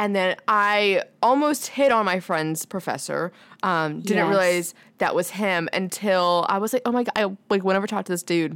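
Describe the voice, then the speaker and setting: In an unremarkable speaking voice, a woman talks with a medium pitch and ordinary pitch variation on a very clean recording with a silent background. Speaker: podcast co-host. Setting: podcast studio.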